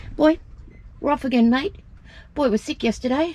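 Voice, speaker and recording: Lively intonation marks a woman's high-pitched voice at a moderate pace, recorded dry with no echo. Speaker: sailing vlogger. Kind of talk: casual vlog chat. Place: boat. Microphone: phone near.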